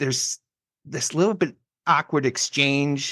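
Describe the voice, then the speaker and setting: A man speaks at a fairly slow pace with ordinary pitch variation. His tone is bright and sharp, and the sound is dry and close with no echo. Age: 30s. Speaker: podcast host. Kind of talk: casual chat. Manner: halting.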